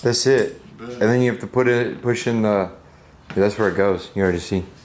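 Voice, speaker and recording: An unremarkable speaking voice moves at a fairly quick pace. Its intonation stays fairly even. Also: man, medium pitch for a man. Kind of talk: casual talk.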